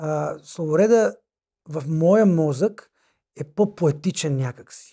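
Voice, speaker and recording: With a slight Macedonian accent, a man speaks at a fairly high pitch with ordinary pitch variation. His tone is dark and mellow, and the recording is very clean against a silent background. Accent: slight Macedonian accent, softer. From North Macedonia, Vinica. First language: Macedonian (speaking Bulgarian). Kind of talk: casual chat. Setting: studio.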